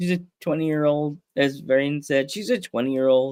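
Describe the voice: Slow pace, clear and smooth with a slightly mellow tone, and ordinary pitch variation. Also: man.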